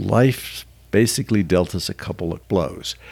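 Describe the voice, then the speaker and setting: Male speech with vocal fry and lively intonation, in a very clean recording with a silent background. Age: 70s. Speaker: podcast co-host. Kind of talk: casual chat.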